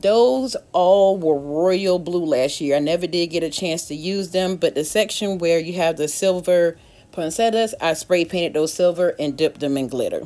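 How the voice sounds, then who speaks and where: A woman with an unremarkable speaking voice talks at a fairly low pitch and moderate pace, with ordinary pitch variation and hardly any pauses. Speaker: DIY decor YouTuber. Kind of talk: casual tutorial walkthrough.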